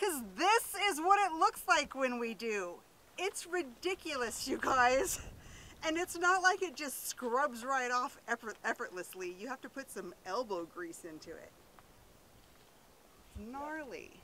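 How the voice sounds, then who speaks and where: A woman projects her voice at a fairly slow pace, with very wide pitch swings and big swings in loudness. The sound is dry with no echo, over light background noise. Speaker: bus-life vlogger. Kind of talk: casual vlog chat. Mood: cheerful, amused. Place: street. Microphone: phone near.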